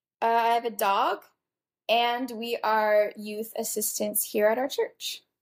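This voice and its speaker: The speaker has an American accent and talks at a very slow pace with monotone, flat intonation. The recording is very clean, with a silent background. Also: woman, fairly high pitch for a woman. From Texas. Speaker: podcast host, pastor's daughter. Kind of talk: casual interview.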